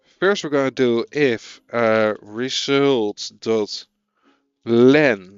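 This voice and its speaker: In a Dutch accent, a man with a medium-pitched voice speaks at a very slow pace. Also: ordinary pitch variation. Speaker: programming streamer. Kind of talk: live coding stream, casual chat with viewers. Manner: casual, hesitant.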